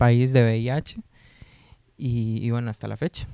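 A dark, mellow tone comes through at a fairly slow pace, the sound dry and close with no echo. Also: man. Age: 20s. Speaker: sociologist working for an HIV-focused NGO. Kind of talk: casual podcast interview.

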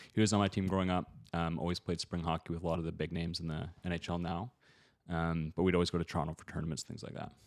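With a Canadian accent and a very deep, low pitch, a man talks very fast in a flat monotone, recorded very cleanly with a silent background and a dry, close sound with no echo. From Ontario, Canada (London). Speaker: e-commerce entrepreneur and coach. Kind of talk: podcast interview. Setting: recorded on the road, not in usual studio.

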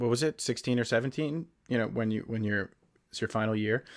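Using a plain, everyday voice, a man with an American accent speaks at a fairly quick pace and medium pitch with ordinary pitch variation on a very clean recording with a silent background. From northern New Jersey. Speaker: podcast co-host, film and TV producer. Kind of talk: casual chat.

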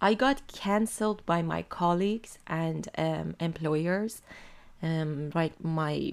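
At a very slow pace, someone speaks with an Iranian accent on a very clean recording with a silent background. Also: woman. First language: Farsi. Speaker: podcast host. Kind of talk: personal monologue reading own text. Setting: home desk.

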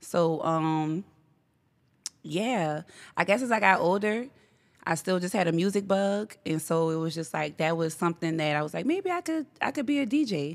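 In a plain, everyday voice, a woman talks at a moderate pace with a fairly low pitch and lively intonation, on a very clean recording with a silent background. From Gretna, Louisiana, US South. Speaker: DJ. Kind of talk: casual interview chat.

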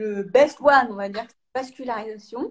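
A woman's fairly slow delivery, fairly even intonation and an ordinary speaking voice. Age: 30s. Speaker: sprinter, 400 m athlete. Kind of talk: live interview.

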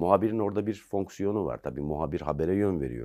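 On a very clean recording with a silent background, a man speaks with vocal fry and a dark, mellow tone. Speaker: investigative journalist and author. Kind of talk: interview.

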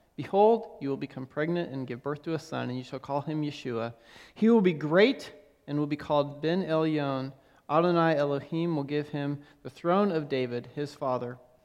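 An unremarkable speaking voice with ordinary pitch variation moves at a moderate pace over a quiet background. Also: man, fairly high pitch for a man. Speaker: preacher leading a congregation. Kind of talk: sermon with scripture reading. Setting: church.

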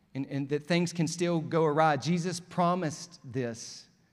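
A man speaks in an Alabama accent. Audible room echo surrounds his voice. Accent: Southern US (Alabama). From US South, rural Alabama. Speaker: pastor. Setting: church stage with live congregation, also streamed online. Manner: animated, building to emphatic calls for response ("come on", "oh, but"); warm, conversational and joking, with laughs between points.

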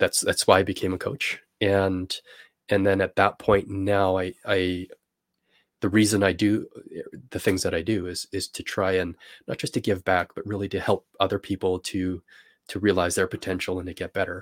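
A man with a Canadian accent speaks at a moderate pace in a very deep, low voice, his flat, monotone delivery broken by long, frequent pauses, on a very clean recording with a silent background and a dry, close sound free of echo. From Canada. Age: 40s. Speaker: coach and investor. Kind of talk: interview podcast.

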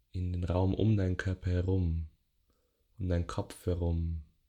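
The speaker goes at a fairly slow pace with a gentle, calm tone. The background is quiet. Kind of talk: guided meditation (yoga nidra). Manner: slow, soft, gentle, calm, with long pauses.

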